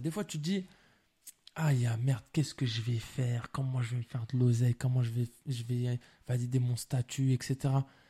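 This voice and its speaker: Medium-pitched male voice, somewhat breathy with a dark, mellow tone, dry and close with no echo. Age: 20s. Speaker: film director. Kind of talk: casual chat.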